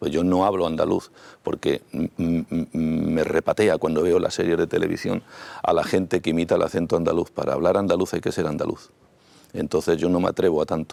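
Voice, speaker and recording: Speaking at a fairly quick pace with a Madrid accent, a man keeps his loudness very even in a dry, close sound with no echo. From Madrid, Spain. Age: 60s. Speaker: mayoral candidate, politician. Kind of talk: TV interview. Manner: halting, frequent fillers and repetitions.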